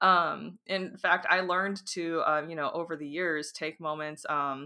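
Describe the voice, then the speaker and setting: At a moderate pace, a woman with a fairly low pitch speaks with fairly even intonation in a very clean recording with a silent background. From US, raised in a Romanian-American community. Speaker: spiritual teacher and former fantasy author. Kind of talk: interview, personal testimony. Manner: hesitant, many filler ums.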